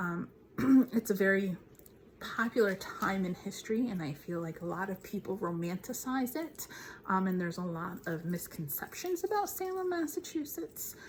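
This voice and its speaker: Noticeable noise sits in the background. The speech moves at a moderate pace with lively intonation. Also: woman, medium pitch for a woman. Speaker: paranormal YouTuber, spirit communication host. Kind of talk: casual talk to camera, paranormal investigation narration.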